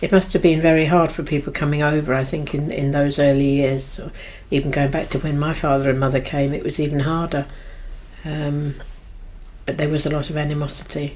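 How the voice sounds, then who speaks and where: Audible room echo surrounds a woman with a very deep, low voice. She talks at a fairly quick pace in a monotone, flat intonation. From London (Irish community, Willesden). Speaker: Irish community member. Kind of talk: reminiscence interview.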